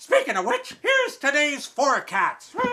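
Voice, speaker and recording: A man performs a put-on character voice, raised and projected. Music plays in the background. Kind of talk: mock TV weather forecast. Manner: goofy, rambling.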